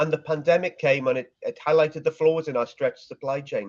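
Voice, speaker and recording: A man with a Welsh accent speaks at a fairly high pitch. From Wales. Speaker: supply chain marketing executive. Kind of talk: interview.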